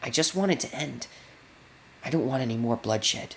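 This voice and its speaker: Over clear background noise, a man puts on a character voice at a medium pitch and a fairly quick pace. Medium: read story. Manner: blunt, plain-spoken.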